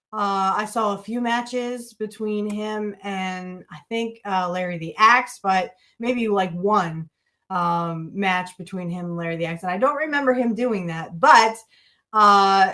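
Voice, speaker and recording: A woman's bright, sharp voice at a medium pitch, with big swings in loudness. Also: ordinary pitch variation. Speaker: wrestling podcast host. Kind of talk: casual talk to camera. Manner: casual, hesitant.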